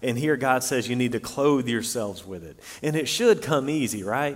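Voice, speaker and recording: Amid audible room echo, a man with a medium pitch talks at a moderate pace with ordinary pitch variation. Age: 30s. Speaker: pastor. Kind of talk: sermon.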